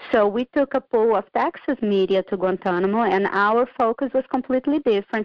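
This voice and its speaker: With a Portuguese accent, a woman talks at a fairly quick pace in a fairly high pitch. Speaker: author, former military public affairs civilian. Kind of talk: casual interview.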